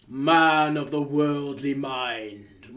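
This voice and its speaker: A man performs a put-on character voice. He pitches it fairly high. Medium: read story. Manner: solemn, mournful.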